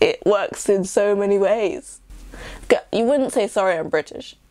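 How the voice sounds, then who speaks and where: Against a quiet background, a woman speaks at a moderate pace. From England. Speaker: YouTuber. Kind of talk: casual vlog monologue. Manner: talkative, rambling. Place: home room.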